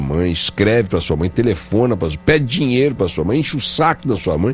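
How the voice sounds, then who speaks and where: Music plays behind a man whose pitch swings very widely as he talks. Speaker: radio host. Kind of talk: radio interview question.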